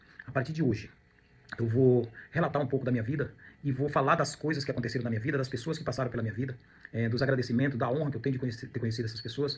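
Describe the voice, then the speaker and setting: Somewhat breathy and at medium pitch, a man speaks very fast with ordinary pitch variation. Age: 50s. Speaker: real estate agent and student. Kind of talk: personal testimony monologue. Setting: at home. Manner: reflective, with hesitations and repetitions.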